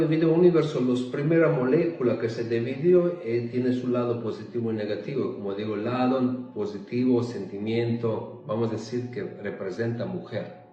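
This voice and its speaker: A man with a non-native accent speaks at a medium pitch and moderate pace, with ordinary pitch variation. Noticeable background noise and audible room echo fill the recording. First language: not Spanish (speaking Spanish). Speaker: spiritual content creator. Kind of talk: spiritual monologue. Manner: halting.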